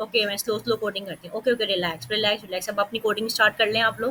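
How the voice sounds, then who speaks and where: Here a woman talks at a medium pitch. Her pitch varies in an ordinary way. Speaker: coding teacher. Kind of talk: live coding class. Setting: online class with screen share. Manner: fast.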